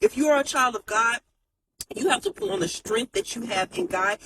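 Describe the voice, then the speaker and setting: Her fairly high, somewhat breathy voice swings very widely in pitch as the woman speaks at a fairly quick pace, the sound dry and close with no echo. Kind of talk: inspirational talk. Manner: fast; animated.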